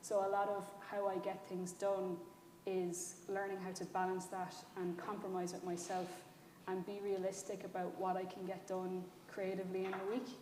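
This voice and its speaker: Someone speaks in a Kerry Irish accent at a moderate pace with a monotone, flat intonation, amid audible room echo and noticeable background noise. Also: woman, medium pitch for a woman. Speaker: writer-director. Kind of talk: panel discussion.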